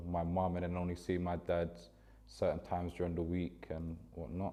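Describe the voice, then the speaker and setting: This voice has a dark, mellow tone and a London accent. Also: man. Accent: London, multicultural London English. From West London, Ealing. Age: 20s. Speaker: former youth footballer. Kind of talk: documentary interview. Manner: casual, conversational.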